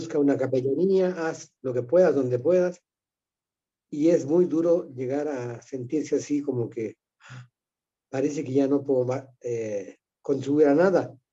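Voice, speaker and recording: A man's fairly high voice with a dark, mellow tone, ordinary pitch variation, a fairly slow pace, and long, frequent pauses. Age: 70s. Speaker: retired priest, participant. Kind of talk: casual chat.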